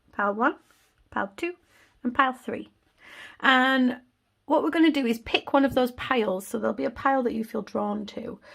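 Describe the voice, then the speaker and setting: A woman speaks in a Yorkshire accent, her voice high-pitched and warm with ordinary pitch variation. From Yorkshire, England. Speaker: tarot reader. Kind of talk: tarot reading to camera. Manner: casual, warm.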